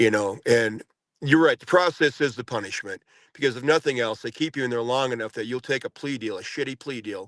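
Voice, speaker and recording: In a plain, everyday voice, a man speaks at a fairly quick pace with medium pitch and ordinary pitch variation, recorded dry and close with no echo against a quiet background. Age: 60s. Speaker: former prisoner, January 6 defendant. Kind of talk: podcast interview.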